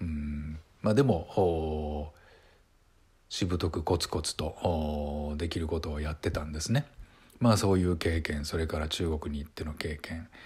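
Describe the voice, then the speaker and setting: A man speaks with a very deep, low pitch and a somewhat breathy quality. His pace is fairly slow. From Japan, Saitama. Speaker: actor and YouTuber. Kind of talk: casual monologue to camera. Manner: hesitant with many fillers; polite, formal.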